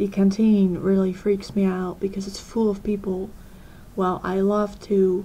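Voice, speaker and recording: The woman speaks fairly slowly at a medium pitch in a monotone, flat intonation. Noticeable background noise sits behind her. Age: 20s. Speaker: vlogger. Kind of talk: personal vlog. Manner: hesitant.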